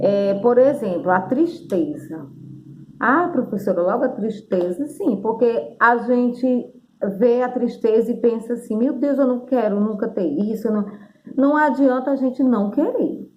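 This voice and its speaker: Amid audible room echo, a woman with a high pitch and lively intonation speaks at a fairly slow pace. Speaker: teacher. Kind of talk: video lesson.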